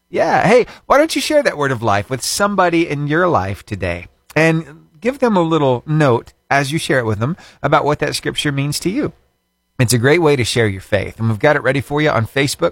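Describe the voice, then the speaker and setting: Fairly high-pitched male voice, a normal speaking voice, at a fairly quick pace with lively intonation, dry and close with no echo, very clean recording over a silent background. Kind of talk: radio DJ patter. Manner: upbeat, warm, chatty.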